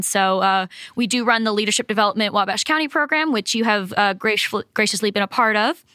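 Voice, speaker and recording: A woman's fairly high, bright, sharp voice in an American accent at a very fast pace, dry and close with no echo, on a very clean recording with a silent background. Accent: faint Boston accent, mostly gone. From Massachusetts, Cape Cod. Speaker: economic development professional. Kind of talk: interview.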